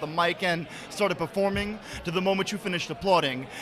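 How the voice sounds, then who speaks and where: A loud man talks at a very fast pace in a high, monotone, flat voice over noticeable background noise. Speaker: spoken word poet. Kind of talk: spoken word performance. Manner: rhythmic, rapid delivery.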